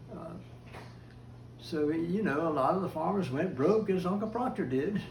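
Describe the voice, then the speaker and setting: Amid noticeable background noise and audible room echo, a man with an American accent talks at a high pitch. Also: ordinary pitch variation, moderate pace. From US South, Florida. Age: 80s+. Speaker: family elder interviewed about family history. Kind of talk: oral history interview. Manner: halting, many fillers.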